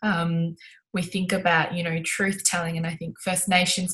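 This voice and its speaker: With an Australian accent, a woman speaks at a moderate pace in a fairly low voice. Her tone is bright and sharp, with fairly even intonation. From Melbourne, Australia. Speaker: sports inclusion advocate and broadcaster. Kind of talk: interview answer.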